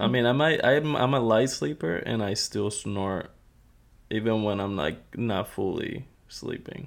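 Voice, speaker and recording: A man with an ordinary speaking voice, his pitch fairly low, moving at a fairly slow pace and showing ordinary pitch variation. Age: 20s. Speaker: host's husband. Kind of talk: casual chat. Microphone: sharing one mic, sitting close.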